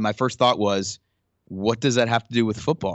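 A man speaks at a moderate pace in a normal speaking voice, medium in pitch with ordinary variation. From Ottawa, Canada. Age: 40s. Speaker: church creative arts pastor. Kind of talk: interview conversation.

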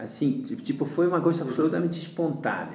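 Fairly high male voice, plus audible echo from the room. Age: 40s. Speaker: yoga teacher. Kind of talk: interview. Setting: home kitchen.

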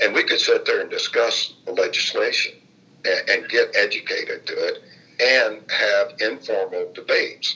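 A raised, projected voice at a moderate pace with fairly even intonation. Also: man, extremely high pitch for a man. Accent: American. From Indianapolis, Indiana. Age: 70s. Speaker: former state legislator and funeral director. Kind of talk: oral history interview.

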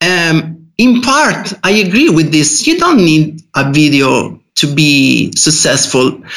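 A man with an Italian accent talks at a very slow pace in a high pitch. His pitch swings very widely. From Italy. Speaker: freelance IT developer. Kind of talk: casual podcast interview. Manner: halting.

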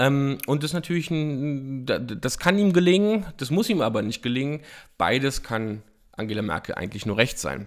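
Very wide pitch swings mark this man's fairly high voice, captured on a very clean recording with a silent background. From eastern Germany, Frankfurt (Oder). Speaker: political podcaster. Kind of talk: solo political commentary. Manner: hesitant, many filler sounds.

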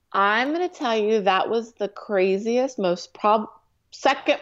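With an American accent and lively intonation, a woman speaks over a quiet background. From US West Coast, Orange County, California. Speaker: television producer. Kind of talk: casual interview.

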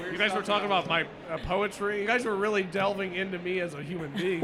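Over noticeable background noise, a man with an American accent talks very fast in a raised, projected voice, his pitch high and his intonation fairly even.

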